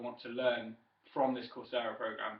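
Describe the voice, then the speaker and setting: Man with an English accent, medium pitch and a moderate pace. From southern England, Wiltshire. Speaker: student. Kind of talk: self-introduction speech. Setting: webcam recording. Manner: hesitant, many fillers.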